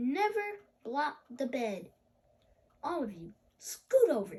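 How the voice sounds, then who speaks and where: A woman puts on a character voice, high-pitched, with very wide pitch swings at a fairly slow pace. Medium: read story. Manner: strict, formal.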